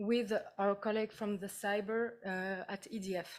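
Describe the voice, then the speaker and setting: A woman speaks with a non-native accent at a medium pitch. Her intonation stays fairly even. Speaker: PhD researcher. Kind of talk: presentation. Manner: halting, many fillers.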